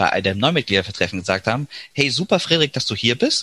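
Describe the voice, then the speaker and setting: A man's bright, sharp voice with lively intonation, in a dry, close sound with no echo. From Düsseldorf, Germany. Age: 30s. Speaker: teacher and parliamentary candidate. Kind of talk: interview.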